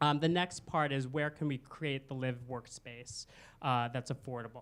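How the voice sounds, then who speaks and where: A man speaks at a moderate pace in a medium pitch with fairly even intonation, on a very clean recording with a silent background. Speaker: political candidate. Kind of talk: candidate forum speech. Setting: stage with audience in a theater. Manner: hesitant, many fillers.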